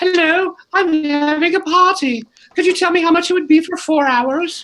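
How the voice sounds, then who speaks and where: Here is a put-on character voice. Its pitch is extremely high. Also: moderate pace. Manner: polite, feigning innocence.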